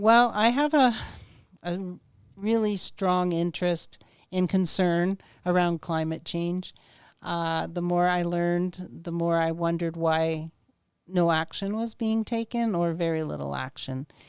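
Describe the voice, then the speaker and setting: Fairly slow and fairly low-pitched, a woman speaks in an unremarkable speaking voice with ordinary pitch variation. The recording is very clean, with a silent background. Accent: Canadian. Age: 60s. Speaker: political candidate. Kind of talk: podcast interview.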